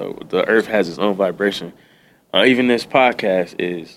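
The man's voice sits fairly low, with ordinary pitch variation. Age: 30s. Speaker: podcast guest. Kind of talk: casual chat. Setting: studio.

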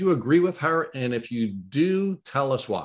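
Lively intonation runs through this man's speech. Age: 50s. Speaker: podcast host. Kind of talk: interview.

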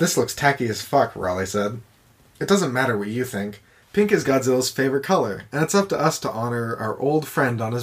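The voice is natural. It is reading aloud.

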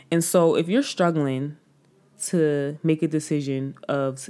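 The recording is very clean, with a silent background. A woman speaks at a fairly slow pace in a very deep, low pitch. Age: 20s. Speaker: podcast host. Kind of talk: solo monologue. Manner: casual, filler-heavy.

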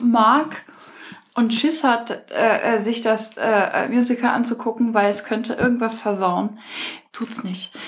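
A woman with a fairly high voice speaks very slowly, leaving long, frequent pauses. Noticeable background noise can be heard. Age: 40s. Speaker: podcast host. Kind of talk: casual chat. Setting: at home. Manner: animated.

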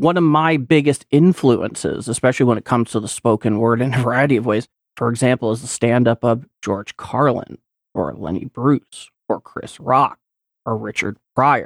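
A man with a plain, everyday voice speaks at medium pitch and a moderate pace, using ordinary pitch variation, in a dry, close sound with no echo. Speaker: podcaster and editor. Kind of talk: casual chat.

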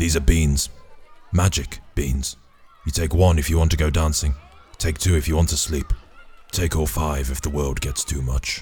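Using a put-on character voice with a very deep, low pitch, a man speaks at a moderate pace with long, frequent pauses. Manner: slow, creepy, evasive.

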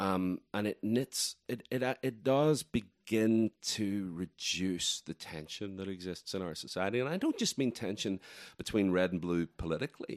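Recorded very cleanly against a silent background with a dry, close sound and no echo, a man speaks at a moderate pace with ordinary pitch variation and hardly any pauses. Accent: Irish. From Ireland. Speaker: writer and festival organizer. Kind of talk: interview conversation.

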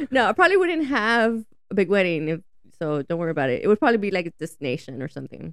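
A woman with an American accent speaks very fast at medium pitch, with very wide pitch swings. Vocal fry runs through her voice. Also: very clean recording, silent background. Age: 30s. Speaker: friend of the host. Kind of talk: casual chat. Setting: studio.

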